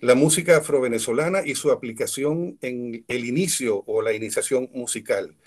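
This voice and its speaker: A man speaks in an unremarkable speaking voice at a medium pitch. His pitch varies in an ordinary way. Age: 60s. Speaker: musician and music teacher. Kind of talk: talk to students.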